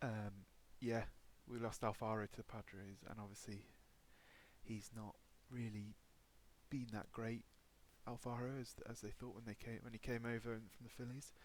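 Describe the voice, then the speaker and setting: A man with an English accent speaks at a moderate pace and medium pitch, his intonation monotone and flat, with long, frequent pauses. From England. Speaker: gaming YouTuber. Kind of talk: gameplay commentary. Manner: hesitant, many fillers.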